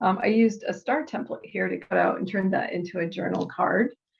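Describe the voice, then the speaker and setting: A woman's vocal fry at a medium pitch. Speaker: scrapbooking crafter demonstrating tools. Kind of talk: tutorial. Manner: casual with many fillers.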